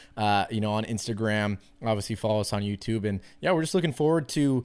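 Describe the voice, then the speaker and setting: Heard in a very clean recording with a silent background, a man in an American accent speaks at a fairly quick pace. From US-Canadian, mixed. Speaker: podcast host and football player. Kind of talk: casual podcast chat.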